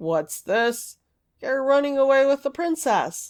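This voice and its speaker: Against a silent background in a very clean recording, a woman uses a put-on character voice, pitched high, at a fairly slow pace. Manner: astonished, demanding.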